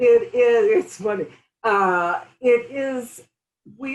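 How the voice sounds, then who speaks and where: A woman speaks at a very slow pace. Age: 60s. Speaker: functional medicine health practitioner. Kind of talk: casual chat. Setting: interview over tea.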